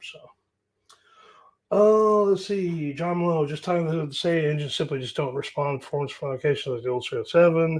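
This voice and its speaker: A man's somewhat breathy delivery with an American accent. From US Great Plains. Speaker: carburetor mechanic and YouTuber. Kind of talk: live stream Q&A. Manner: casual, rambling with fillers.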